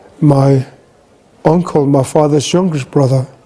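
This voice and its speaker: Speaking at a fairly slow pace, a man with a fairly high pitch keeps his intonation fairly even over noticeable background noise. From Greenland. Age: 60s. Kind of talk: talk.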